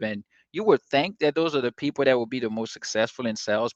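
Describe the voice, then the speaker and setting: This man has a strong non-native accent and speaks at a very fast pace with a medium pitch and ordinary pitch variation. The sound is dry and close with no echo against a quiet background. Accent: non-native accent, self-described strong. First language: not English. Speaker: sales coach and channel host. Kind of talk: casual talk-to-camera advice. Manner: many filler words, hesitant; relaxed, laid-back.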